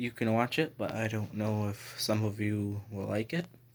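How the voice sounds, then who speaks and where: The quiet voice moves at a moderate pace with fairly even intonation in a very clean recording with a silent background. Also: man. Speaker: vlogger. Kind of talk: personal vlog.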